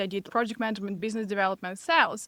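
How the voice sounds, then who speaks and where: With a Russian accent, a woman at medium pitch speaks in fairly even intonation, recorded dry and close with no echo on a very clean recording with a silent background. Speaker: business and mindset coach. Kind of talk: podcast interview.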